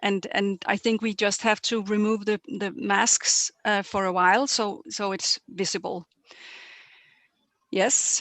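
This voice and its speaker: A woman's medium-pitched voice at a fairly slow pace, with fairly even intonation, long and frequent pauses, and a dry, close sound with no echo. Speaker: weightlifting technical official presenter. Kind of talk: webinar presentation.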